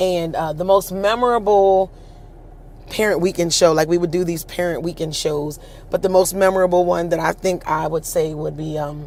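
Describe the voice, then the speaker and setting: A woman with an American accent speaks in a husky, fairly low voice at a moderate pace with fairly even intonation. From Pennsylvania (Harrisburg). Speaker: show host and singer. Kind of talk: personal storytelling. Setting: livestream.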